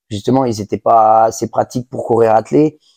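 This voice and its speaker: A man with a dark, mellow tone and fairly even intonation talks at a moderate pace in a dry, close recording with no echo. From western France, Angers. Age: 30s. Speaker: harness racing jockey and trainer. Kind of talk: interview. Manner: halting, many fillers and repetitions.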